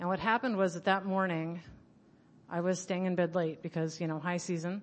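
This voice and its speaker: Pitched fairly low, a woman uses an ordinary speaking voice whose intonation stays fairly even. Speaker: speaker at recovery conference. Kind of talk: personal recovery talk. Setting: conference room with microphone.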